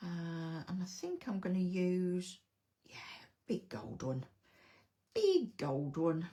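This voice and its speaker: With an English accent, a woman speaks at a very slow pace in a fairly low pitch, her voice somewhat breathy with a dark, mellow tone. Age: 60s. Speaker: card-making crafter. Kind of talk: live craft tutorial. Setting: livestream at home desk. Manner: casual, hesitant with fillers.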